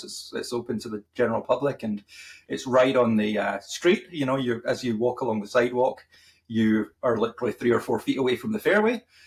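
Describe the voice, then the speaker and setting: Speaking fairly quickly in a Scottish accent, a man with a medium pitch sounds somewhat breathy and shows ordinary pitch variation. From Scotland, Fife. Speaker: marketing podcast co-host. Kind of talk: casual chat.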